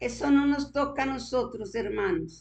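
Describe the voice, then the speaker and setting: A woman speaks with vocal fry at a fairly slow pace. Her pitch swings very widely. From Colombia, Boyacá. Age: 80s+. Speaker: preacher. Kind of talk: sermon.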